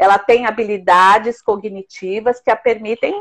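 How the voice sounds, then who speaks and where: Dry, close woman's voice with no echo, at a moderate pace. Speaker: psychologist. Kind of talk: interview. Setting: live stream. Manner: halting.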